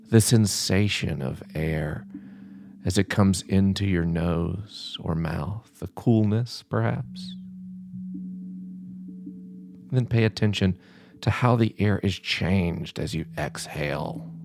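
Music plays in the background as a man speaks at a very slow pace in a very deep, low voice. His tone is calm and soothing, with ordinary pitch variation. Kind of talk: guided contemplative prayer meditation, gently instructing breath awareness. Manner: slow, calm and soothing with long pauses; gentle, reassuring and permissive tone.

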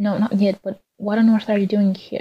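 A woman at medium pitch talks at a fairly quick pace in a dark, mellow, somewhat breathy tone, her intonation monotone and flat, the sound dry and close with no echo. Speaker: student writer. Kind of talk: reading aloud.

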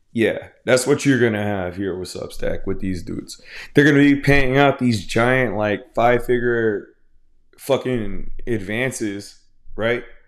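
Speaking at a fairly slow pace with an American accent, the voice shows ordinary pitch variation. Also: man, medium pitch for a man. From Houston, Texas. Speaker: comics podcast host. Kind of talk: casual solo commentary. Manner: halting, many repetitions and fillers.

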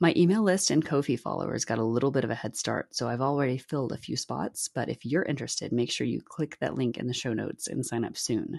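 A woman with a very deep, low pitch and vocal fry talks at a very fast pace with hardly any pauses. Her intonation is lively, and the background is quiet. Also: dry, close sound with no echo. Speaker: podcast host. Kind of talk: solo podcast monologue.

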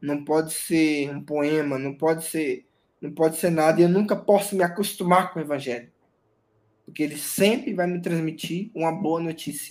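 Using a plain, everyday voice, a man talks at a moderate pace, his pitch varying in an ordinary way. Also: fairly high pitch for a man, very clean recording, silent background. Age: 30s. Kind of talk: interview testimony.

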